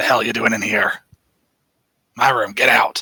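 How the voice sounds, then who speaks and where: Putting on a raspy character voice, a man talks at medium pitch and a moderate pace. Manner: glaring, hostile.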